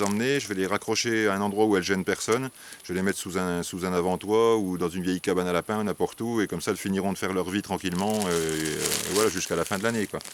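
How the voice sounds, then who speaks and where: A man's intonation stays fairly even as he talks at a very fast pace. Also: hardly any pauses. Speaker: wasp nest removal specialist. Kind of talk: tutorial. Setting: outdoors. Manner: hesitant, many fillers.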